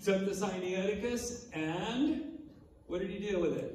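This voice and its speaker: Room echo and noticeable background noise surround a man whose intonation is lively. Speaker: Bible teacher and author. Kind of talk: lecture. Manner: fast; animated.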